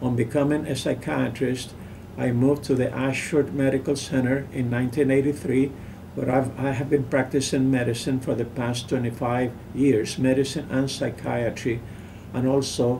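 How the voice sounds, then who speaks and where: In a room with audible echo, a man speaks at a medium pitch. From Puerto Rico, Lares. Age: 70s. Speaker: physician. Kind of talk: interview. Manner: halting.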